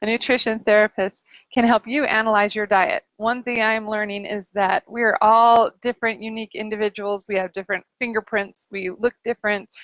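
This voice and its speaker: A woman with a fairly high pitch speaks with hardly any pauses. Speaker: nutrition therapist. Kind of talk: casual live stream talk. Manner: fast; animated. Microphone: sound issues.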